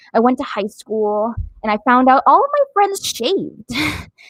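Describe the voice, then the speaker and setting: Loud and animated, a woman speaks at a moderate pace in a high voice with very wide pitch swings, the sound dry and close with no echo. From Latin America. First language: Spanish. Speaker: comedian. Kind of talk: stand-up.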